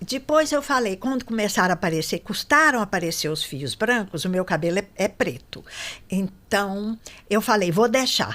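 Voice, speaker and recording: Her medium-pitched voice moves through very wide pitch swings as the woman talks. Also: moderate pace. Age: 70s. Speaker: tax auditor and lawyer. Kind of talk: interview conversation.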